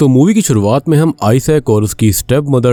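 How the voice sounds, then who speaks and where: Dry and close with no echo, the recording captures a man with a medium pitch and a dark, mellow tone at a moderate pace. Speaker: movie explainer YouTuber. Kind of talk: film plot narration.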